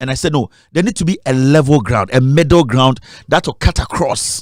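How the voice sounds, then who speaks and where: In a Ghanaian accent, a man speaks at a moderate pace. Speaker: media founder and documentary maker. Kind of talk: interview. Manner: halting, with repetitions.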